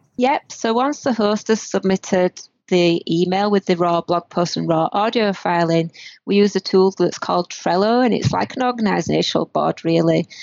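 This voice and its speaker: A woman with a northern British accent speaks at a very even loudness. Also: medium pitch for a woman, ordinary pitch variation, moderate pace. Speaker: multimedia producer and editor. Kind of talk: casual interview. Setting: remote call from Canada.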